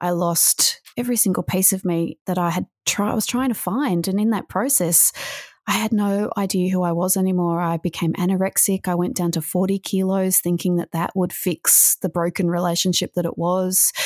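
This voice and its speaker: A woman with an Australian accent speaks at a moderate pace with fairly even intonation and very even loudness. The recording is very clean, with a silent background and a dry, close sound with no echo. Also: medium pitch for a woman. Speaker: author and motivational speaker. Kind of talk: interview testimony.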